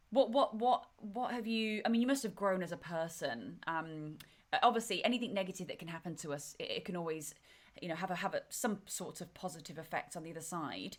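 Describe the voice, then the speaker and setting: The speaker talks at a fairly quick pace with lively intonation. Loudness swings widely. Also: woman, medium pitch for a woman. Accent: English. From England. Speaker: podcast host. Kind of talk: interview.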